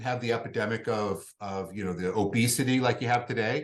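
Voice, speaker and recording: In a plain, everyday voice, a man moves along at a fairly quick pace, his pitch varying in an ordinary way. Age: 50s. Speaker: hormone therapy clinic representative. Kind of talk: casual interview chat.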